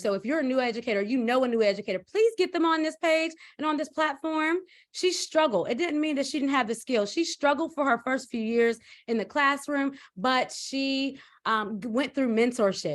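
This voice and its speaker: Against a quiet background, a woman with a high pitch speaks in an animated tone with lively intonation. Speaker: educational consultant and show host. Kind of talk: live-stream introduction. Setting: live stream. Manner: fast.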